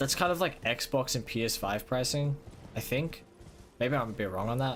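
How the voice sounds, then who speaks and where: A man at medium pitch with an Australian accent, speaking at a moderate pace. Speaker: gaming streamer. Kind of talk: live gameplay stream chat. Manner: casual, halting with many fillers.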